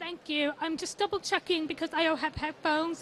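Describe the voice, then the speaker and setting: Speaking at a fairly quick pace, a woman has an extremely high pitch. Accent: American. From USA. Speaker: sustainability consultant. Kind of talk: conference talk. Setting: stage with audience.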